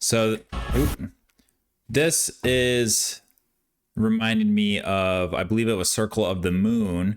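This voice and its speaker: Music plays in the background as a man speaks very slowly, with long, frequent pauses. His pitch is fairly low with ordinary variation, and his loudness stays very even. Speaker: gaming streamer. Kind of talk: reaction commentary.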